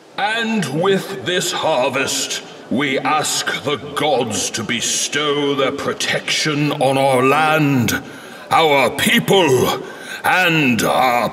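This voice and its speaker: A man's put-on character voice at a fairly high pitch, very slow pace, clear background noise behind it. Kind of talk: fantasy royal address. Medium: machinima. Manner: stately, formal.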